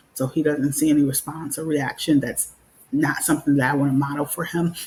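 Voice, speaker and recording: Somewhat breathy, a woman speaks with a very deep, low pitch in a monotone, flat intonation. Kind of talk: live talk show monologue. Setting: live stream with headset. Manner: calm, measured.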